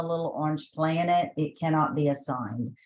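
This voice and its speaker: A woman is speaking. She has a Southern US accent. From Texas. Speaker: education trainer. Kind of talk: webinar tutorial. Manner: conversational, filler-heavy.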